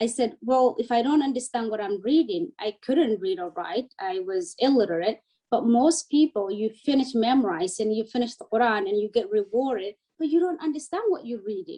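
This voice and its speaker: With a Somali accent, a woman talks at a fairly quick pace in a dark, mellow tone. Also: fairly high pitch for a woman, lively intonation. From Somalia, raised in a refugee camp in Kenya. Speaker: refugee and educator. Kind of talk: interview. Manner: animated.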